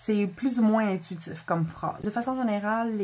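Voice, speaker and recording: With a Quebec accent, a woman talks at a moderate pace with fairly even intonation over noticeable background noise. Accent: Québécois French. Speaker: spiritual content creator, oracle card reader. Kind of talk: casual video review of oracle cards. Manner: halting, with self-corrections.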